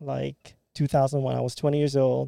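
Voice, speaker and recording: This man's voice sits fairly high for a man and has a dark, mellow tone, delivered at a moderate pace with a dry, close sound and no echo. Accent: Filipino. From Philippines. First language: Filipino. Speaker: podcast guest, immigrant with engineering background. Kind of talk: casual discussion podcast.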